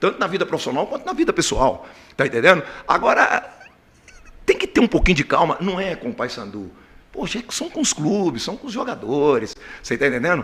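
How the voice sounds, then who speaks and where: A man at a fairly quick pace, with long, frequent pauses and noticeable background noise. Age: 60s. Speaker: football coach. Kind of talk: press conference.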